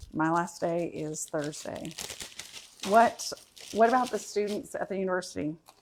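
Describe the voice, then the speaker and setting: This woman has a fairly low pitch and a slight Southern US accent, speaking at a moderate pace with ordinary pitch variation. Noticeable background noise runs underneath. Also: long, frequent pauses. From Michigan via Florida. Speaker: cooking channel host and teacher. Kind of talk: casual live stream chat. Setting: livestream at home.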